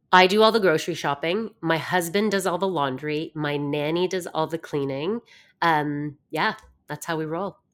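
A woman with an unremarkable speaking voice talks at a moderate pace in a fairly low pitch. Her pitch varies in an ordinary way, and the recording is very clean with a silent background. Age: 40s. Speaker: fitness and mindset coach. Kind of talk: casual interview chat.

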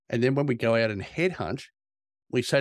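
Recorded very cleanly against a silent background, a man with an Australian accent talks at a very fast pace in a medium pitch with ordinary pitch variation. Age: 50s. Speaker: executive recruiter. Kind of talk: interview.

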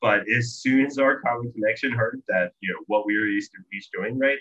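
A man with a normal speaking voice talks fairly quickly at a medium pitch, varying it in an ordinary way. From Virginia, US East Coast. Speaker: software company owner. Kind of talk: casual interview chat.

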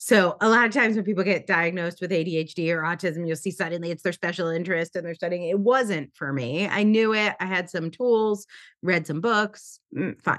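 A woman's fairly low-pitched, unremarkable speaking voice. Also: ordinary pitch variation, fairly quick pace. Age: 40s. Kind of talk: interview conversation. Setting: remote call.

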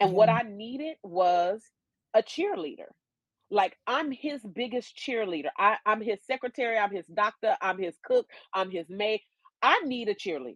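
The speaker uses lively intonation in an American accent. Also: woman, fairly high pitch for a woman, moderate pace, dry, close sound with no echo. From US West Coast (Oakland, California). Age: 50s. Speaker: educational consultant. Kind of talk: casual chat. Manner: animated.

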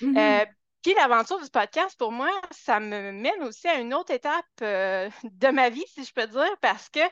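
A woman speaks at a high pitch with very wide pitch swings. The sound is dry and close with no echo, over a quiet background. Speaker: dog trainer. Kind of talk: interview.

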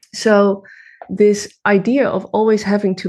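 Over a quiet background, a woman speaks with a Dutch accent. Her pace is fairly slow. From Netherlands. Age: 30s. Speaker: women's coach. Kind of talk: interview. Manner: halting.

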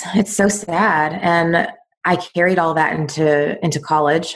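A woman's fairly low-pitched, plain, everyday voice with fairly even intonation and a fairly slow pace. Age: 30s. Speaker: eating disorder recovery coach. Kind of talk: casual chat.

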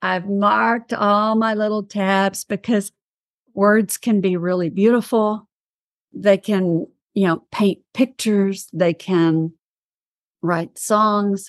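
Spoken very slowly with an East Texas accent, the voice has ordinary pitch variation and a dry, close sound with no echo. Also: woman. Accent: East Texas Southern US. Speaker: podcast host. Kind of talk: interview. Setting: video call.

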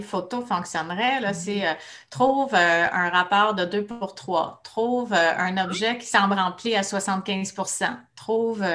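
Very slowly, a woman with a Quebec accent speaks in a bright, sharp tone at a medium pitch, with ordinary pitch variation. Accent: Québécois French. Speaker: speech-language pathologist. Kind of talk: casual interview.

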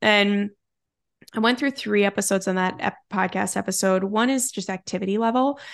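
Over a quiet background, a woman in a normal speaking voice talks at a moderate pace in a medium pitch with ordinary variation. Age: 30s. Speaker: time management coach, former attorney. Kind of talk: podcast interview.

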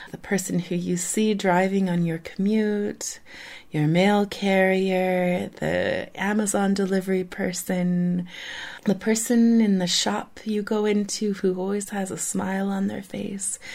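On a very clean recording with a silent background, a woman speaks at a fairly slow pace. Her tone is soothing and calm, her intonation monotone and flat. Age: 40s. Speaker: parenting podcast host. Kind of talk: guided meditation. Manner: slow, soft, soothing and unhurried, with long calm pauses.

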